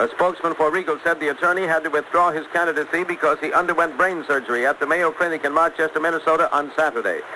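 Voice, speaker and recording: A man speaks in a high, flat monotone at a very fast pace. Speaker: radio newscaster. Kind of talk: radio news broadcast. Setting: 1960s radio broadcast recording.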